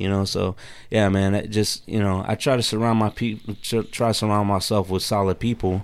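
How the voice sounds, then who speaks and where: A man with an American accent talks at a moderate pace and fairly low pitch, his intonation monotone and flat. His loudness stays very even on a very clean recording with a silent background. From Texas, Katy area. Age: 40s. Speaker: podcaster and military veteran. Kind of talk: casual chat. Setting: studio.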